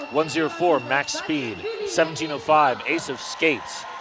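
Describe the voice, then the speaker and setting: Background music plays throughout. A man talks in a fairly high voice. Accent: American. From United States. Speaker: sports commentator. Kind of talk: live commentary.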